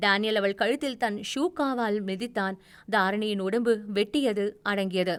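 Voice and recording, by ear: A natural voice reading aloud, its pitch varying in an ordinary way.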